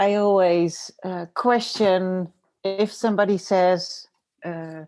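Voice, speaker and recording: Speaking very slowly in a dark, mellow tone, a woman with a Dutch accent keeps her intonation fairly even. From Netherlands. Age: 40s. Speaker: designer and graphic facilitator. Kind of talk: interview. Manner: hesitant, many fillers.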